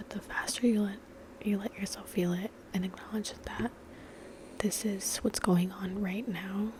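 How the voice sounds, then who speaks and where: A soft-spoken voice with monotone, flat intonation moves at a moderate pace with long, frequent pauses over noticeable background noise. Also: woman, medium pitch for a woman. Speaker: ASMR creator. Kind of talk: ASMR ramble.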